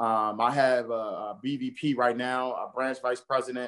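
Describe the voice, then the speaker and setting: A man at medium pitch with a monotone, flat delivery and fairly slow pace, dry and close with no echo over a quiet background. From Baltimore, East Baltimore. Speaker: real estate agent, podcast co-host. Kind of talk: casual interview. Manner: hesitant, many fillers.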